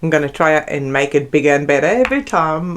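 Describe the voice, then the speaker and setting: With a South African accent, a woman speaks at a very deep, low pitch. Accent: Afrikaans South African. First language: Afrikaans. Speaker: art YouTuber. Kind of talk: casual chat. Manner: halting.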